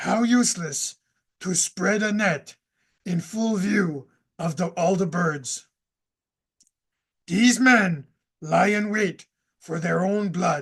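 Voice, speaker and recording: A cartoonish character voice at middle pitch comes at a very slow pace. Long, frequent pauses fill the delivery. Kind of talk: scripture reading. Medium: puppet. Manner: hesitant.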